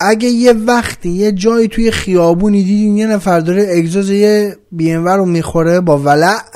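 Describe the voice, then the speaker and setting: The man's voice sits high in pitch, and his intonation stays fairly even. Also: moderate pace, hardly any pauses. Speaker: podcast host. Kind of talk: casual monologue.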